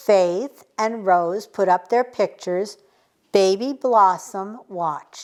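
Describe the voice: The clip is plain reading aloud. The background is quiet.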